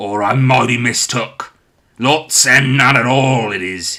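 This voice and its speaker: A man's growling, put-on character voice at medium pitch, fairly slow, with ordinary pitch variation. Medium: read story.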